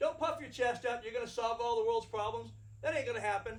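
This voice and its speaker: At a fairly quick pace, the man talks with ordinary pitch variation. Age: 60s. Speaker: firearms instructor. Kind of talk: lecture. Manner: blunt, plain-spoken.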